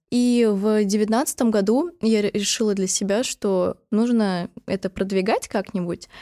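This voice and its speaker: The voice has a dark, mellow tone, very even loudness and hardly any pauses. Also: woman, fairly high pitch for a woman, ordinary pitch variation, fairly slow pace, very clean recording, silent background. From Moscow, Russia. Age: 20s. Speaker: podcast host. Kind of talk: casual chat.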